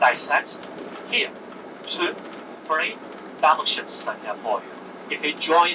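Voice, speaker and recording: A man at a fairly slow pace, with noticeable background noise. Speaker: tour guide. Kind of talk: guided tour commentary. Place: bus.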